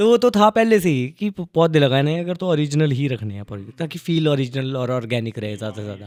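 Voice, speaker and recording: Hardly pausing, a man with a fairly high pitch speaks at a moderate pace, his pitch swinging very wide. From Himachal Pradesh, India. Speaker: podcast host, filmmaker. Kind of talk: casual interview chat.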